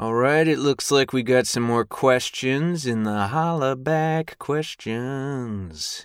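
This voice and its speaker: A man speaks at a very slow pace in a dry, close sound with no echo. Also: medium pitch for a man, ordinary pitch variation, hardly any pauses. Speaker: audiobook narrator and former stand-up comedian. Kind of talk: recorded answers to listener questions.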